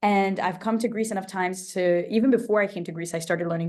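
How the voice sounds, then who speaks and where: A woman speaks with a Portuguese accent. Her pace is moderate. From immigrant child, grew up in an English-speaking country. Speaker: travel host and polyglot. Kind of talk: radio interview. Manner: animated.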